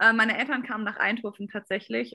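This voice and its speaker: Against a quiet background, a woman talks at a fairly quick pace. Her tone is bright and sharp, with ordinary pitch variation. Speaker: competitive swimmer. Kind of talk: interview. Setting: video call.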